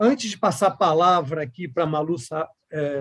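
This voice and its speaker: A man talks at a fairly slow pace. He has a Rio de Janeiro accent. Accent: carioca. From Rio de Janeiro, Brazil. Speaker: board chairman, panel moderator. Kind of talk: moderated online panel.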